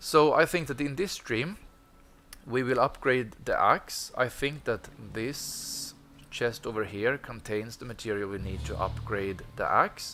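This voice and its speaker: Speaking with a Swedish accent at a fairly slow pace, a man has a bright, sharp tone, a medium pitch, lively intonation and vocal fry. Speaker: gaming streamer. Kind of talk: gameplay commentary. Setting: live stream with headset.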